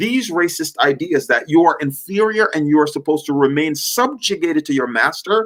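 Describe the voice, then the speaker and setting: With lively intonation, a man speaks in a plain, everyday voice at a fairly high pitch. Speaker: workshop presenter on history. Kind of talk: lecture.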